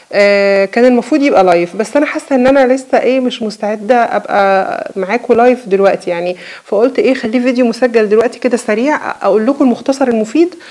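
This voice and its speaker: A woman speaks at a high pitch with ordinary pitch variation, very even loudness and hardly any pauses over noticeable background noise. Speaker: cooking YouTuber. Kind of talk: casual vlog talk to viewers. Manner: halting, many fillers and restarts.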